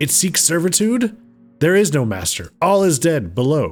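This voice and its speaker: A man's put-on character voice, high-pitched, at a moderate pace over faint music in the background. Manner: alien, eerie.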